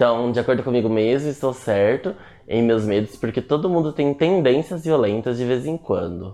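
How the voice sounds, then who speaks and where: Moderately paced, a man speaks at a medium pitch. His tone is dark and mellow, with lively intonation. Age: 20s. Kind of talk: casual chat. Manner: animated.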